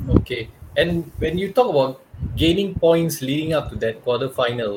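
A man's ordinary speaking voice at a moderate pace, with lively intonation. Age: 30s. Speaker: podcast host. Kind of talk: casual chat.

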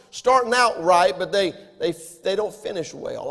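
With a Southern US accent, the words come out at a fairly quick rate. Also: man. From US South. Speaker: pastor. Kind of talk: sermon. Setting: church.

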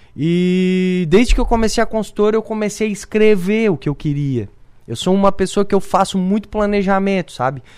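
A man's voice sits high in pitch, with ordinary pitch variation at a moderate pace. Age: 30s. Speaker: businessman. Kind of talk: radio interview. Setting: studio.

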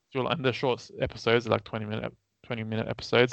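Very fast speech with vocal fry, in an Australian accent. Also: man. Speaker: podcast co-host. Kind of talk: casual chat.

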